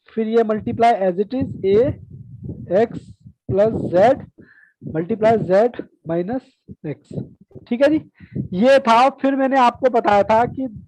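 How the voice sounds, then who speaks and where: A man speaks fairly slowly at a high pitch with ordinary pitch variation. He leaves long, frequent pauses. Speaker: math teacher. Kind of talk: online class lecture.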